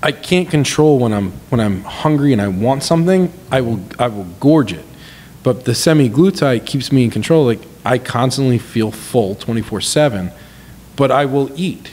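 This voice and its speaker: A man speaks in a plain, everyday voice at medium pitch with an American accent, a fairly slow pace and lively intonation, over light background noise. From New York (Long Island); New York. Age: 40s. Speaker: business consultant and entrepreneur; podcast guest. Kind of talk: casual chat. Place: home room. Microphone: studio mic.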